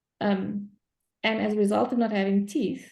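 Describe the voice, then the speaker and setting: A woman's dark, mellow tone at medium pitch with vocal fry and a moderate pace, against a quiet background. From South Africa, Cape Town. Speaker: coach in training session. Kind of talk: group discussion on video call.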